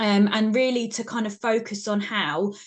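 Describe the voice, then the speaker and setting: The speaker is a woman with a British accent. Her medium-pitched voice has fairly even intonation. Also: quiet background. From UK. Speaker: university researcher. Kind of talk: webinar presentation.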